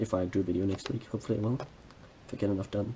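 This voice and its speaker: The voice moves at a very fast pace with ordinary pitch variation. Its tone is dark and mellow, and somewhat breathy. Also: man. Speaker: hobby vlogger. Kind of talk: hobby tutorial vlog.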